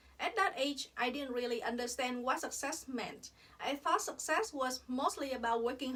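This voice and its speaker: A woman's high-pitched voice in a Vietnamese accent, with ordinary pitch variation and a moderate pace. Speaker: dentist. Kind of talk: personal reflection monologue.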